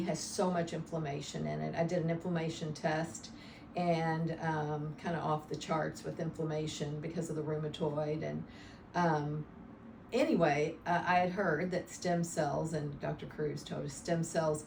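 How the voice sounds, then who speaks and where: A woman with a very deep, low pitch speaks at a moderate pace with fairly even intonation, heard through noticeable background noise and audible room echo. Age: 60s. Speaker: patient. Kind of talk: testimony. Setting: interview. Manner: halting.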